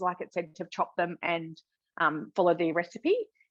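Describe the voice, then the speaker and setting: A woman with an Australian accent speaks with lively intonation, her voice dry and close with no echo. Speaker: cooking demonstrator. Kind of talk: live cooking demonstration. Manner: loud.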